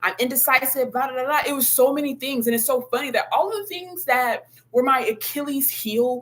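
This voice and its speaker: An animated woman speaks at a fairly quick clip in a high voice, with noticeable background noise behind her. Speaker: spiritual content creator. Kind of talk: livestream monologue. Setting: live video stream.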